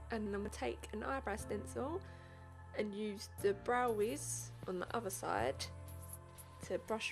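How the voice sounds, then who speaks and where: Mumbling at a fairly slow pace, a woman talks over music in the background. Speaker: beauty vlogger. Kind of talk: makeup tutorial narration. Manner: casual, chatty.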